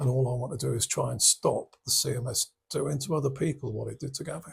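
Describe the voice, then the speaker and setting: Here a man talks at a very fast pace. He has an English accent. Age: 60s. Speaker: war veteran and bereaved father. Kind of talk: interview.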